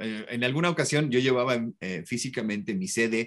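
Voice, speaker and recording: A man with a plain, everyday voice talks at medium pitch and a fairly quick pace. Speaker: voice actor and commercial announcer. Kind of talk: interview.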